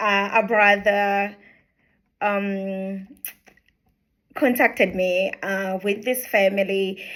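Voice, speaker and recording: In a Ugandan accent, a woman speaks at a very slow pace and medium pitch. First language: Luganda. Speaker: charity founder. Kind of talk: introductory video talk. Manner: hesitant, many fillers.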